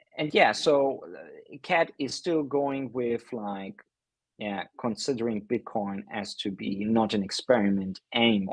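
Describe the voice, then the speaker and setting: With a non-native accent, a man speaks at a medium pitch and a fairly slow pace, using ordinary pitch variation and big swings in loudness over a quiet background. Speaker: livestream host. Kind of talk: casual commentary. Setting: livestream. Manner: halting, many fillers.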